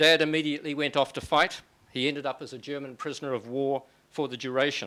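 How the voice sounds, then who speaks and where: Speaking at a moderate pace in a New Zealand accent, a man has a fairly high pitch and a bright, sharp tone on a very clean recording with a silent background. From New Zealand, Auckland. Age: 60s. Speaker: author and lecturer. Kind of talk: public lecture.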